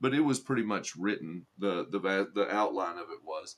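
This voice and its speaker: A man with a Southern accent at a moderate pace. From Arkansas. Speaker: livestreamer and political commentator. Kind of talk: live stream chat with commenters. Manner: conversational, with frequent repetitions and fillers.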